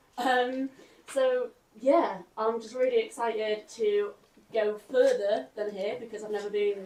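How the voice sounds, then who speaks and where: Using a British accent, a woman speaks at a moderate pace with a fairly high pitch and fairly even intonation. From United Kingdom. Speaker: sailor. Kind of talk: short speech to audience.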